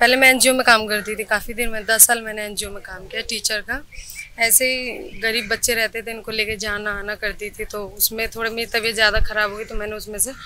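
Over light background noise, a woman with a fairly high pitch speaks at a moderate pace in a monotone, flat delivery, her loudness swinging widely, in a dry sound with no echo. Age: 20s. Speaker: housewife and part-time cook; interviewee. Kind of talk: interview. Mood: calm, somewhat weary. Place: street. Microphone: handheld.

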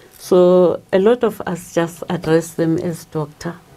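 A woman's fairly low, monotone voice with flat intonation at a fairly slow pace, faint music in the background. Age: 70s. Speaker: pharmacist. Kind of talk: interview answer. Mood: warm, reflective. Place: studio. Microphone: lapel.

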